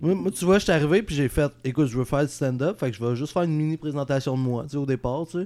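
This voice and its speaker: The voice has a dark, mellow tone and runs at a very fast pace with hardly any pauses. The recording is very clean, with a silent background. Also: man, fairly high pitch for a man, ordinary pitch variation. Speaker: podcast co-host and comedian. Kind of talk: casual chat.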